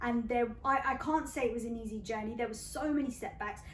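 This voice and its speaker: Animated in tone, a woman with a British accent talks at a high pitch with ordinary pitch variation. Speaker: radio presenter. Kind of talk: interview.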